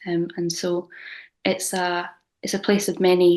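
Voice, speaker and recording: The setting is quiet. A woman talks at a medium pitch. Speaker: arts producer. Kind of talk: conference presentation. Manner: fast.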